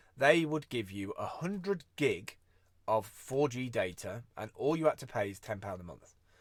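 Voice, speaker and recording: Pitch swings very widely in this voice with a British accent. Loudness also rises and falls in big swings. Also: man, medium pitch for a man. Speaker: vlogger and freelance creative. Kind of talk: casual live-stream monologue. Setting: live video stream. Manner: fast.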